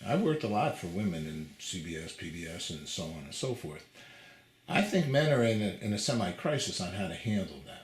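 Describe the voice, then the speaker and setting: A man with a fairly low, somewhat breathy voice talks at a fairly quick pace, his pitch swinging very widely and his loudness shifting greatly. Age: 60s. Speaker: TV interviewer. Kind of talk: interview conversation. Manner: halting, many fillers.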